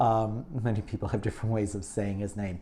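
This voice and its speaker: A man with a fairly low, dark and mellow voice speaks at a very fast pace. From New York. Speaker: online show host. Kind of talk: casual chat. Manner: halting.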